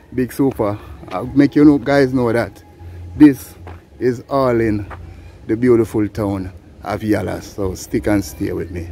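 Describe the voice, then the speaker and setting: A man speaks at medium pitch and a fairly slow pace, with ordinary pitch variation and long, frequent pauses. Music plays in the background. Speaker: travel vlogger. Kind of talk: walking vlog narration. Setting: outdoors, walking in town. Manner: animated.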